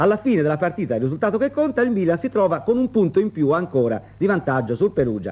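Talking at a fairly quick pace, a man shows vocal fry and very wide pitch swings. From Italy. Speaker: studio sports presenter. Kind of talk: 1970s sports newsreel, studio results reading. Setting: TV studio. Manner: brisk, formal, measured. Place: studio.

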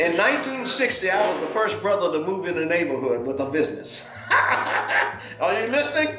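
A man's high-pitched voice at a moderate pace with hardly any pauses, very wide pitch swings, audible room echo and clear music in the background. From Cleveland, Ohio. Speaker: sign painter. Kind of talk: documentary interview answer. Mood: warm, amused. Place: workshop.

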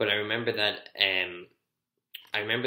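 Here a man with an Irish accent has a fairly low pitch and a bright, sharp tone. His intonation is fairly even, and audible room echo surrounds him. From Ireland. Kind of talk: personal testimony talk to camera. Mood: reflective, earnest. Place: home room. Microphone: webcam.

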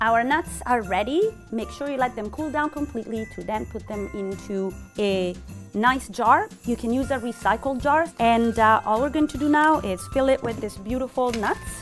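Clear music plays in the background as a woman talks. Her pace is moderate and her pitch varies in an ordinary way. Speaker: chef instructor. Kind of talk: tutorial. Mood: warm, cheerful. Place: kitchen.

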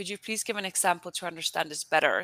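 A woman speaks in a bright, sharp tone with ordinary pitch variation, recorded dry with no echo. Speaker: communications officer, webinar moderator; webinar moderator. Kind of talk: webinar introduction and moderation. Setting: online webinar. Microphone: headset.

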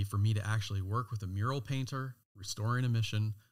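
Very fast, somewhat breathy delivery in an American accent, with fairly even intonation. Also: man, very clean recording, silent background. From California. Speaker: designer and knife brand founder. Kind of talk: interview.

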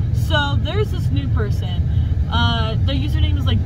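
A woman speaks at a moderate pace over loud background noise, the sound dry with no echo. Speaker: vlogger. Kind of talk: casual vlog chat. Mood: annoyed, venting about harassment. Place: car. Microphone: phone near.

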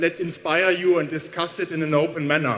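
A man speaking with fairly even intonation. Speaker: university professor giving welcome. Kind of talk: welcome speech. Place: hall. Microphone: handheld.

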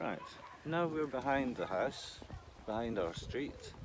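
A man talks at a very slow pace while loud noise fills the background. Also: dry sound with no echo. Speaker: vlogger. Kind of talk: casual chat. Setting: outdoors. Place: open country. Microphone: phone near.

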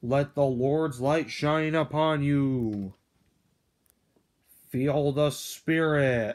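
The voice sits low-to-middle in pitch and moves at a very slow pace, broken by long, frequent pauses. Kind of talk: revival sermon turning to doom prophecy. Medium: machinima. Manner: menacing, dramatic.

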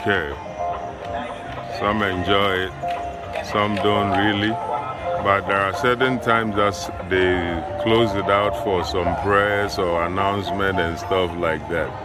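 A man speaks at a fairly slow pace with ordinary pitch variation. The sound is dry with no echo, and music plays in the background. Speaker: vlogger filming the view. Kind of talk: casual vlog narration. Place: street. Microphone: phone near.

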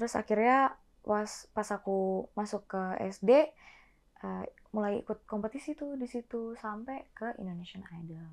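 A woman's fairly high voice with ordinary pitch variation, against a quiet background. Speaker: singer; guest. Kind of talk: casual interview chat. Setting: studio. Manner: fast. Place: studio.

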